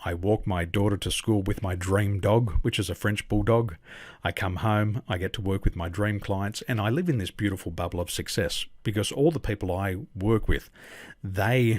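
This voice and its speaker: A somewhat breathy man with an Australian accent, fairly low pitch, ordinary pitch variation and a moderate pace, on a very clean recording with a silent background. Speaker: business coach. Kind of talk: interview.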